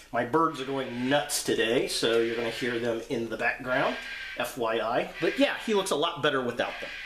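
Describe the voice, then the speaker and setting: Audible room echo and light background noise surround a voice with ordinary pitch variation at a moderate pace. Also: man. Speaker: toy reviewer. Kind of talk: product review commentary.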